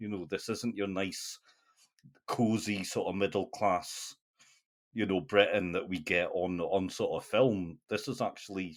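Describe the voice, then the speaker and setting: A man with a northeast English accent speaks at a moderate pace in a fairly low pitch with ordinary pitch variation, on a very clean recording with a silent background. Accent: faint northeast English. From northeast England. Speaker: film podcast host. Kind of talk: casual chat. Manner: hesitant.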